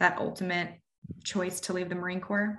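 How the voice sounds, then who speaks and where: Monotone and flat, a woman speaks at a medium pitch in a bright, sharp tone. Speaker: podcast co-host. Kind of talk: casual chat.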